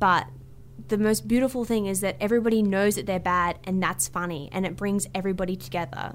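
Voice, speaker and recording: At a fairly quick pace, a woman with an Australian accent speaks at medium pitch with ordinary pitch variation. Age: 20s. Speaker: comedian and writer. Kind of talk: interview.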